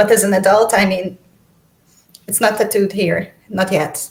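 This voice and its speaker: Speaking at a medium pitch with a slight Hungarian accent, a woman keeps her intonation fairly even while her loudness swings widely. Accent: slight Hungarian accent in Esperanto. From Hungary. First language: Esperanto and Hungarian. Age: adult. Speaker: writer and literature contest ambassador. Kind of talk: interview on livestream. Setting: livestream. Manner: halting, many repeated words.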